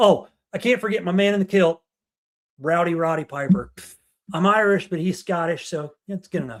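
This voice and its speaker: A man with an American accent, high-pitched, at a fairly quick pace. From Ohio, Dayton area. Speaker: podcast co-host. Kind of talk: casual chat. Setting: livestream. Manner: fast.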